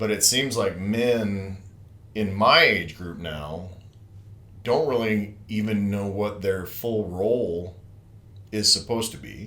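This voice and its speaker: A man speaks at a very slow pace with long, frequent pauses, his pitch fairly low and his pitch variation ordinary. The tone is bright and sharp, loudness swings widely, and room echo is audible. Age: 50s. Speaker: podcast host. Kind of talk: casual chat.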